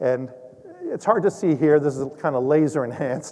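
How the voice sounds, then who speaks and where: There is noticeable background noise behind this man. His pitch is fairly high and his intonation lively. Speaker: occupational physician. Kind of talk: lecture. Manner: loud.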